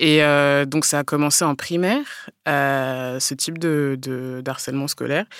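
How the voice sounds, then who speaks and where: A woman with a very deep, low pitch speaks at a fairly slow pace and with fairly even intonation. The recording is very clean, with a silent background. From provincial France. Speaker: children's book author and blogger. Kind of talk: interview. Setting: studio.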